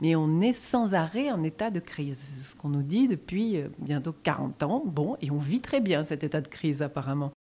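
At a moderate pace with hardly any pauses, a woman speaks in a very deep, low, dark and mellow voice with lively intonation, in a very clean recording with a silent background. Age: 30s. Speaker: theatre director. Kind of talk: interview.

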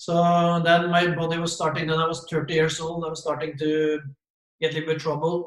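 A man with a Norwegian accent speaks at a fairly high pitch and a moderate pace in a monotone, flat intonation, with audible room echo. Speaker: former football manager. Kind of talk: casual interview. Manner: halting.

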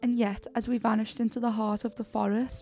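A natural voice, reading aloud.

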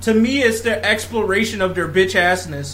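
A man's raised, projected voice, high in pitch, with audible room echo and noticeable background noise. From Africa. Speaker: podcast host. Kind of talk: casual chat.

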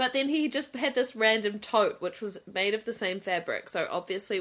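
With a New Zealand accent, a woman talks at a moderate pace using lively intonation. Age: 30s. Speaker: podcast co-host. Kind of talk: casual chat.

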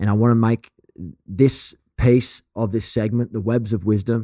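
A man with a strong Australian accent, medium pitch and dark, mellow tone at a moderate pace, in a dry, close sound with no echo. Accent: broad Australian. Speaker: podcast host. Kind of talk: interview conversation. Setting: video call. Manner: animated.

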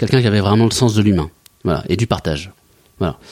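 A man speaks in a fairly low pitch. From Mayenne, western France. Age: 40s. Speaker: company director, former merchant navy officer. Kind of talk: interview. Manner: halting, many hesitations.

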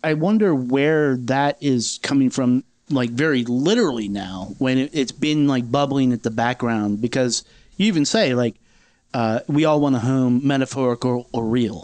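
A man in an ordinary speaking voice talks at a moderate pace and medium pitch, with ordinary pitch variation and very even loudness. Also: quiet background. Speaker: music podcast host. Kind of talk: casual interview.

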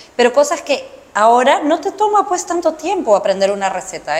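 A woman's voice with very wide pitch swings against noticeable background noise. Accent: Peruvian. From Peru, Lima (Barranco). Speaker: podcast host. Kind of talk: interview.

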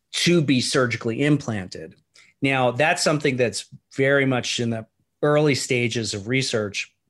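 Here a man has a normal speaking voice at medium pitch, with ordinary pitch variation. He goes at a moderate pace against a quiet background. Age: 50s. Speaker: stem cell physician. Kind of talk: interview. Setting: remote call.

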